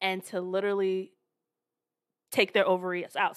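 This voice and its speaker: A woman with an American accent talks at a fairly quick pace and medium pitch, in an unremarkable speaking voice. The recording is very clean, with a silent background. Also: dry, close sound with no echo. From American suburbs. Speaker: podcast co-host. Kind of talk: casual chat.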